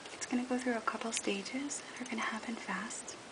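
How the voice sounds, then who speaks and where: Noticeable background noise surrounds a soft-spoken voice. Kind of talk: tutorial talk to camera.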